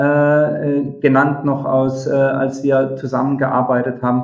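This man speaks at a fairly slow pace. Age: 50s. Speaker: software company executive. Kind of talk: interview. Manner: hesitant, many fillers.

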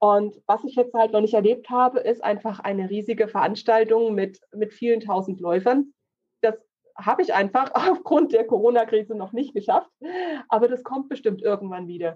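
A woman with an ordinary speaking voice, a moderate pace and ordinary pitch variation. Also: fairly high pitch for a woman. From Thuringia, Germany (Thuringian Forest). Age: 30s. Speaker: insurance and finance broker. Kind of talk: casual interview chat.

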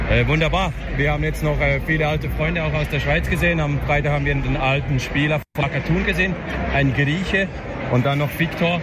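A man's fairly quick speech at a very even loudness, with audible room echo and noticeable background noise. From Switzerland, Thun. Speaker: handball fan. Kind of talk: street interview.

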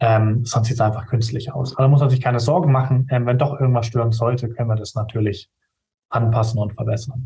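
A man's medium-pitched voice, dark and mellow and somewhat breathy, fairly even in intonation, at a very fast pace. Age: 20s. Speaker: video production company owner. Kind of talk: interview.

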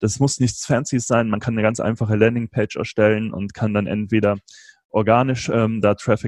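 In a dry, close sound with no echo and a quiet background, a man speaks at a fairly quick pace with a fairly low pitch and monotone, flat intonation. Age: 30s. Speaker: podcast host and entrepreneur, interview guest. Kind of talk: casual interview.

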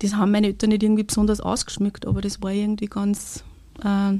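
Her voice has a dark, mellow tone at a medium pitch and is somewhat breathy. The intonation stays monotone and flat. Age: 40s. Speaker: kindergarten language support worker. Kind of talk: testimony.

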